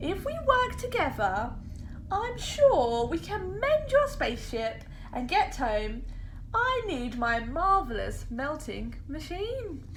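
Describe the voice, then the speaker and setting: With clear background noise behind her, a woman puts on a character voice and speaks at a fairly slow pace. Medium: read story. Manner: boastful.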